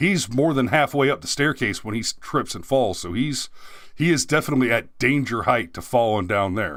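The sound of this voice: In a very clean recording with a silent background, a man speaks at a moderate pace and medium pitch with a fairly bright tone and lively intonation.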